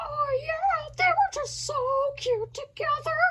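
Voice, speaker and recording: A squeaky, put-on character voice from a woman, extremely high in pitch, with lively intonation and a fairly slow pace. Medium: stage play. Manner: chatty, rambling.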